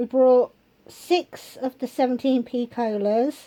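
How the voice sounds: A woman speaks at a slow pace in a dark, mellow tone, with ordinary pitch variation. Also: fairly high pitch for a woman.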